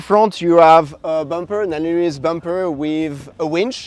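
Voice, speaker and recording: A man with a French accent and a high pitch talks at a moderate pace with ordinary pitch variation, against noticeable background noise. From France. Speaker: van conversion builder. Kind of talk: casual interview and van tour.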